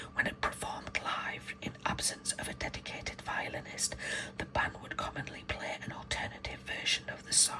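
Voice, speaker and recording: A whispered voice moves at a moderate pace against noticeable background noise. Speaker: ASMR creator. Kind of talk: reading aloud. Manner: whispering; soft-spoken.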